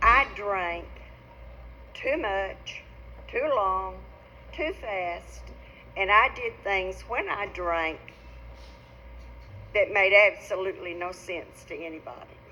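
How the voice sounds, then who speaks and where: A woman with an Arkansas accent talks at a very slow pace, leaving long, frequent pauses. Her loudness swings widely. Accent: Arkansas Southern. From northeastern Arkansas. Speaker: recovering alcoholic speaker. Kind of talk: testimony.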